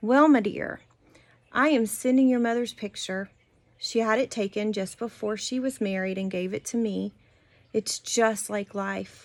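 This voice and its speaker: On a very clean recording with a silent background, a woman is heard. She speaks at a moderate pace. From US South, South Georgia. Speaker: family history storyteller. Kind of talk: reading aloud.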